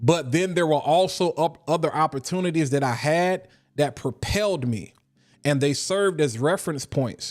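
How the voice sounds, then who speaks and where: In a very clean recording with a silent background, a man with an eastern North Carolina accent speaks in an animated tone at a moderate pace, his fairly high pitch showing ordinary variation and his loudness very even. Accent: Eastern North Carolina country. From Eastern North Carolina (Washington, NC). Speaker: fragrance content creator. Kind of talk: casual livestream talk. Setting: live stream.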